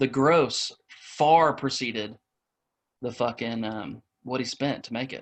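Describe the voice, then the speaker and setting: At a very slow pace, a man with a Midwestern accent and medium pitch speaks with fairly even intonation and big swings in loudness. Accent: Midwestern rural. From US Midwest, Indiana. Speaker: podcast co-host. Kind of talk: casual chat.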